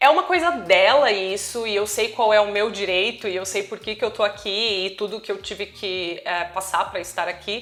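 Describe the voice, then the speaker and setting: A moderate pace with ordinary pitch variation and hardly any pauses. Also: woman, medium pitch for a woman. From Brazil. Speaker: travel vlogger. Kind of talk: personal vlog monologue.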